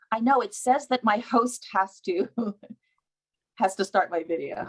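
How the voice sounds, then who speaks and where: There is an unremarkable speaking voice from a woman with a fairly high pitch. She talks at a fairly slow pace with lively intonation. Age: 60s. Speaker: actor and producer. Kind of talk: panel discussion. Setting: video call.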